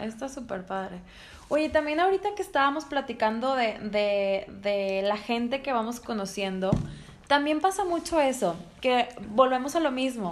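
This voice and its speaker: A woman with a high voice speaks at a fairly slow pace. Her pitch swings very widely, and noticeable background noise can be heard. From Monterrey, Mexico. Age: 30s. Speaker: sales professional. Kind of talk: casual chat.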